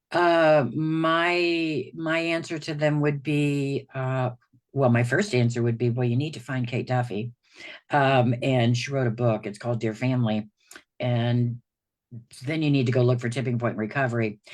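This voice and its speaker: This woman's voice is very deep and low, moving at a moderate pace with ordinary pitch variation. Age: 60s. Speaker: recovery program client. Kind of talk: casual chat. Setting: livestream video call.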